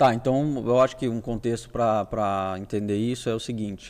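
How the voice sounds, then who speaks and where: A man's unremarkable speaking voice at medium pitch, moderate pace and fairly even intonation, over a quiet background. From Brazil, Paraná interior (Toledo). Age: 40s. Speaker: business owner, trucking company founder. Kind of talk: podcast interview, casual life story.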